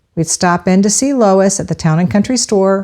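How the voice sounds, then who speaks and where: A woman with a Floridian accent speaks at a fairly slow pace. Her tone is warm, dark and mellow. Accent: Florida accent, noticeable. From Central Florida. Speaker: podcast host, local history. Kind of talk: scripted narration. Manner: warm, conversational.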